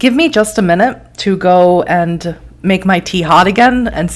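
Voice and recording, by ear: Someone reads the text aloud in a natural voice.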